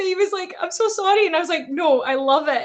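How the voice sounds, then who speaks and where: A woman with a strong Scottish accent talks at a fairly quick pace, her pitch varying in an ordinary way. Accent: thick Scottish. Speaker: wrestling personality. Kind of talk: casual chat.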